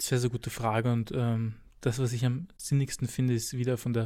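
On a very clean recording with a silent background, a man speaks at a medium pitch and a moderate pace in a monotone, flat intonation. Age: 20s. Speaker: physiotherapist and personal trainer. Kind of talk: expert interview.

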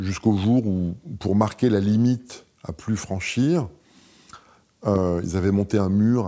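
A man speaks very slowly in a calm tone, his voice fairly low in pitch. The tone is dark and mellow, in a very clean recording with a silent background. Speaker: architect. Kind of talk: casual chat. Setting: studio.

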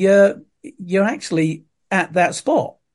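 This is a man speaking. He has an East Anglian accent. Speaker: tour guide and family history expert. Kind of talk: casual chat.

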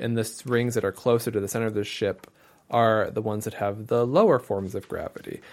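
A man with an American accent talks in a normal speaking voice at medium pitch and a fairly quick pace. The recording is very clean, with a silent background. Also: fairly even intonation. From England and US. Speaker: podcast co-host. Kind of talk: casual book discussion.

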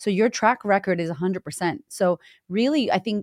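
In a very clean recording with a silent background, a woman with a Boston accent speaks in an animated tone with ordinary pitch variation, the sound dry and close with no echo. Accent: Boston American. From Boston, Massachusetts, US. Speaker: confidence coach. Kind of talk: interview conversation.

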